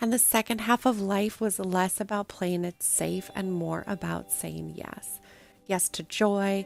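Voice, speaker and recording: A woman talks at a fairly slow pace. Music can be heard behind her. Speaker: podcast host. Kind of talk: podcast intro.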